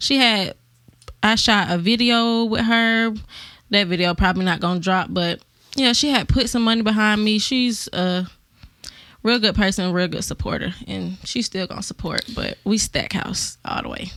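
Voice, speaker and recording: A woman with a slight Atlanta accent speaks at a fairly high pitch and moderate pace, her tone bright and sharp. Pitch variation is ordinary, and the recording is very clean with a silent background. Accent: Southern Atlanta accent, slight. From Atlanta area, Decatur, Georgia. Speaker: rapper. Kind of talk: radio interview. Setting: studio.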